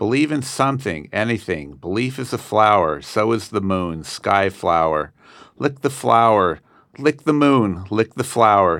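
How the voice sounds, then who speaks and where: Speaking at a fairly slow pace with lively intonation, a man with a fairly low pitch and an American accent is heard on a very clean recording with a silent background. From Southern California. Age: 60s. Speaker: student poet. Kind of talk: poetry reading. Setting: studio.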